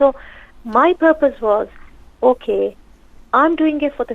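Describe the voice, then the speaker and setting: This is a woman speaking. She has a Pakistani accent. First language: Urdu. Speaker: social worker and counsellor, author. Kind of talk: radio interview.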